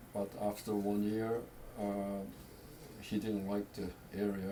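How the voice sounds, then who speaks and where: There is audible room echo around a man's fairly low, dark, mellow voice. His intonation stays monotone and flat. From Korea. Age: 80s+. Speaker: family elder. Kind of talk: storytelling. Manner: halting.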